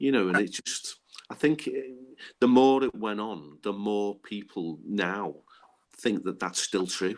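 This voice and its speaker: The speaker talks at a fairly slow pace in a Liverpool accent, with ordinary pitch variation. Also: man, fairly low pitch for a man. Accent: Scouse. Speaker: Hillsborough disaster survivor. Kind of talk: podcast interview.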